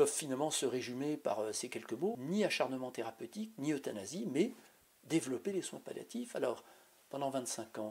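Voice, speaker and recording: This man has a fairly high voice with very wide pitch swings. He speaks at a moderate pace. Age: 60s. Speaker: physician and party spokesperson. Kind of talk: political advocacy statement.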